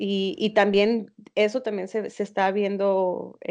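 Against a quiet background, a woman with a dark, mellow tone talks at medium pitch and a very slow pace. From Mexico, León (Guanajuato). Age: 20s. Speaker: podcast co-host, innovation student. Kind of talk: casual chat.

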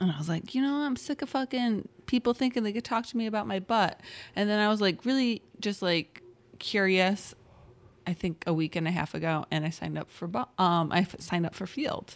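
A woman with an ordinary speaking voice talks at a fairly quick pace and medium pitch with lively intonation, on a very clean recording with a silent background. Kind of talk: casual chat. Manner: joking, laughs often.

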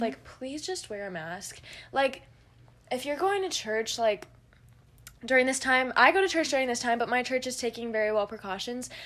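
A fairly quick, high-pitched woman's voice. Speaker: podcast co-host. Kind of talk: casual chat.

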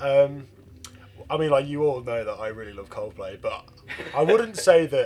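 A man at a moderate pace with long, frequent pauses, big swings in loudness, and noticeable background noise. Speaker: band member. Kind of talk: casual interview chat.

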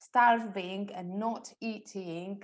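A woman speaks at a medium pitch with an Italian accent. The recording is very clean, with a silent background. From Italy. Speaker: personal stylist. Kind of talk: interview.

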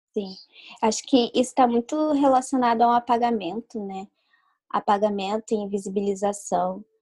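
A woman talks at a moderate pace with ordinary pitch variation, the sound dry and close with no echo. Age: 20s. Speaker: illustrator. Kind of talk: interview.

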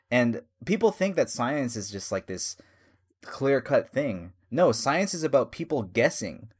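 Speaking at a fairly slow pace, a man with a fairly high pitch and vocal fry makes very wide pitch swings on a very clean recording with a silent background. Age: 30s. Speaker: podcast host. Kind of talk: casual chat.

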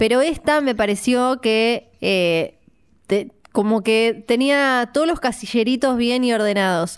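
On a very clean recording with a silent background, a woman with a fairly high pitch speaks very slowly, her loudness very even and her pitch variation ordinary. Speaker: podcast co-host, film commentator. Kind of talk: casual chat.

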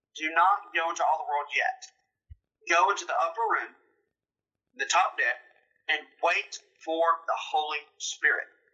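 A man speaks with a Mississippi accent at a moderate pace. He takes long, frequent pauses. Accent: Southern US (Mississippi). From US South, Mississippi. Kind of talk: testimony. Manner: animated.

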